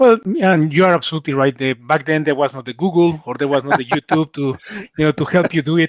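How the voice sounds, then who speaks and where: A man with a fairly high pitch, ordinary pitch variation and a fairly quick pace, in a dry, close sound with no echo. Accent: strong Mexican. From Mexico City. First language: Spanish. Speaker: cybersecurity executive. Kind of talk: interview.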